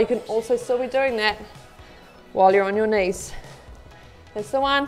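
A woman talks with ordinary pitch variation while faint music plays in the background. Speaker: fitness instructor. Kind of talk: workout class instruction. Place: studio.

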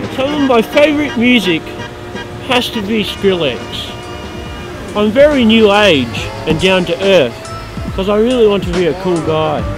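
Over clear background music, a man's voice makes very wide pitch swings in a dry sound with no echo. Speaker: comic interviewee. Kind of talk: casual talk to camera. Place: open country.

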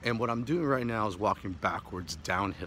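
The voice moves at a moderate pace. The sound is dry with no echo, with light background noise. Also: man. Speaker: martial arts instructor. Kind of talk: tutorial. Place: street. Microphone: phone near.

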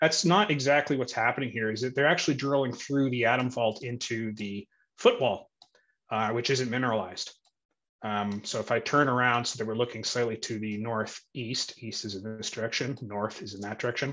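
A man's bright, sharp voice at a fairly quick pace against a quiet background. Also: ordinary pitch variation. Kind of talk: interview answer explaining screen share. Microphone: video call.

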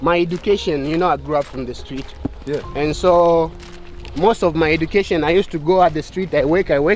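A man's high-pitched voice at a moderate pace, fairly even in intonation, with a dry, echo-free sound and light background noise. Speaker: local guide talking to travelers. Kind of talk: casual conversation while walking. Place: street. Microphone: phone near.

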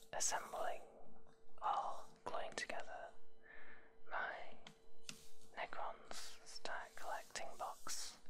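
Long, frequent pauses break up the speech. Noticeable background noise sits underneath. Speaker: ASMR creator, miniature assembler. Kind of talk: whispered ASMR hobby assembly video. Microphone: studio mic.

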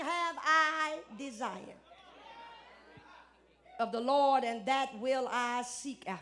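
A woman speaks in a raised, projected voice at a high pitch, with crowd noise in the background. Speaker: preacher; guest preacher. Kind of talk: live church sermon. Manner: call-and-response, emphatic. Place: church. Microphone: handheld.

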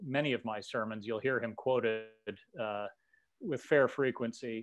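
A man speaks at a medium pitch and a moderate pace. His pitch varies in an ordinary way.

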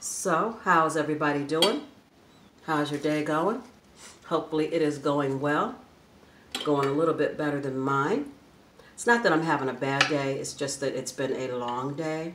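A woman speaks at a moderate pace in a very deep, low voice, with ordinary pitch variation, long, frequent pauses and noticeable background noise. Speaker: food vlogger. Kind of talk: casual vlog chat while eating. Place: home room. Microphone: phone near.

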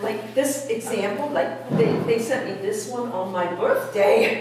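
A woman talks at a moderate pace. Strong room echo and noticeable background noise surround her voice. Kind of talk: comedic skit dialogue. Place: church. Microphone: camera far.

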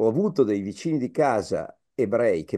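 A man with a dark, mellow tone speaks with very wide pitch swings against a quiet background. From Piedmont, Vercelli; Piedmont. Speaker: professor, migration expert; professor. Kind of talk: public lecture. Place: home room. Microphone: video call.

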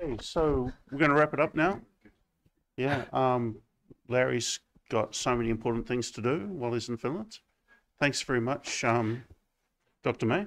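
A man at medium pitch in a New Zealand accent, with ordinary pitch variation, a moderate pace and long, frequent pauses. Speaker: seminar moderator, games researcher; seminar moderator. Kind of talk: event introduction and moderation. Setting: seminar room with audience. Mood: light, joking. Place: classroom.

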